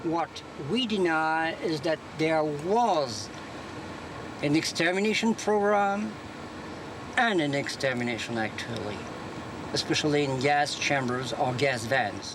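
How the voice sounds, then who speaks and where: A man's fairly high-pitched voice in a French accent, fairly slow with long, frequent pauses and very wide pitch swings, amid audible room echo and noticeable background noise. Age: 60s. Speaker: university professor. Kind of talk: interview statement. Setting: outdoors in front of a courthouse.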